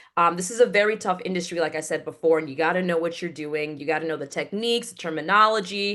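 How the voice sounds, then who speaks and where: A woman with an American accent talks at a very fast pace, with hardly any pauses. Her fairly low-pitched voice has a bright, sharp tone. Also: ordinary pitch variation. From Connecticut, US. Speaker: voiceover actress and award show announcer. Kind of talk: interview. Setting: video call.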